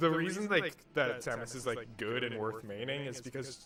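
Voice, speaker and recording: With music playing behind him, a man talks at a moderate pace in a medium pitch, his pitch varying in an ordinary way. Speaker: Samus player commentating a local tournament match. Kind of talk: live commentary. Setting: tournament venue. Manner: quiet.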